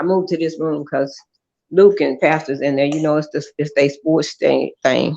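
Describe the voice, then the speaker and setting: At a moderate pace, a woman speaks with a very deep, low pitch, a dark, mellow tone and fairly even intonation. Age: 60s. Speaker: mother of a show host. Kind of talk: casual chat. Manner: halting.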